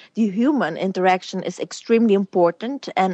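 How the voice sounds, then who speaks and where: A woman of medium pitch speaks at a moderate pace with ordinary pitch variation, her sound dry and close with no echo over a quiet background. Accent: Flemish. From Belgium (born in Romania). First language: Flemish. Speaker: businesswoman and former beauty queen. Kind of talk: interview. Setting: phone call.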